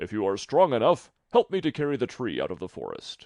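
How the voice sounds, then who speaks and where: A man puts on a character voice, pitched fairly high for a man. He talks at a fairly quick pace against a quiet background. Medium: read story. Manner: gruff, scornful.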